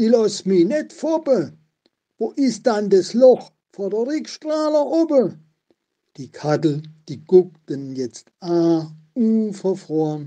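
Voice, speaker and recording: A man with an Odenwald accent, high-pitched and dark, mellow in tone, very slow, with very wide pitch swings, big swings in loudness, and long, frequent pauses. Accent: Odenwald Baden dialect. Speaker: local historian. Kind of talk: dialect poetry reading.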